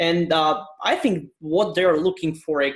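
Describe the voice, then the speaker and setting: A man speaks with a Turkish accent. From Turkey, Istanbul. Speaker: IT consultant. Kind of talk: casual interview.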